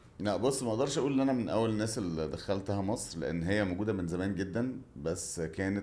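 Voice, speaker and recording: Over audible room echo, a man talks at a fairly quick pace with a fairly low pitch and lively intonation. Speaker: water sports entrepreneur. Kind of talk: interview.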